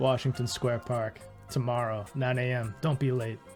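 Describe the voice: Putting on a gruff character voice, a man talks at a moderate pace and medium pitch with monotone, flat intonation while clear music plays in the background.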